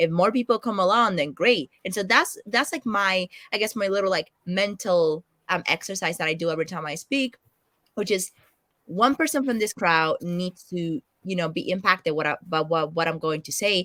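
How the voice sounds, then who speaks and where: A woman with a Spanish accent, medium pitch and a bright, sharp tone, at a moderate pace in a dry, close sound with no echo. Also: lively intonation, very clean recording, silent background. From Latin America, Spanish-speaking country. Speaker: financial analyst and content creator. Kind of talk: interview.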